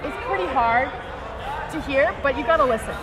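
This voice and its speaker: An animated woman's voice, high-pitched, at a fairly quick pace with ordinary pitch variation, plus noticeable background noise and audible room echo. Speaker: sports commentator. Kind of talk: live commentary.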